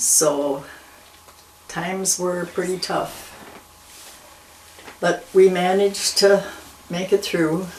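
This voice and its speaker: Speech comes at a very slow pace with long, frequent pauses, over noticeable background noise. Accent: American. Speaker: longtime local resident. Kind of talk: oral history interview. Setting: at her home.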